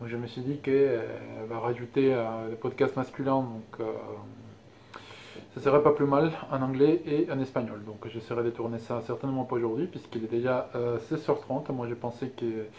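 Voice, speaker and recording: A man's medium-pitched voice keeps fairly even intonation at a moderate pace. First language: Spanish (speaking French). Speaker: knitting and sewing podcaster. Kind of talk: casual vlog monologue. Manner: hesitant, many filler sounds.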